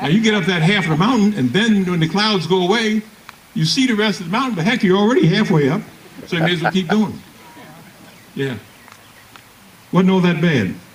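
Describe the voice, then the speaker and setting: With long, frequent pauses, a man speaks in a high voice with an American accent and ordinary pitch variation over noticeable background noise. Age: 80s+. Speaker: retired Air Force colonel, war veteran. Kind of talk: Memorial Day speech.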